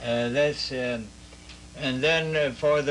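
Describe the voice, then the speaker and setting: Against noticeable background noise, a man with a Midwestern accent and fairly high pitch talks at a very slow pace with fairly even intonation. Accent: American Midwestern. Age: 80s+. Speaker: war veteran. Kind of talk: interview answer. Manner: hesitant, halting.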